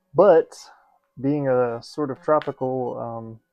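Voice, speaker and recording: Very slow speech with an American accent and ordinary pitch variation, music in the background. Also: man. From US South, Georgia. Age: 30s. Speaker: synth hobbyist YouTuber. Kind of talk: casual chat while assembling kit. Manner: hyped, energetic; rambling with fillers.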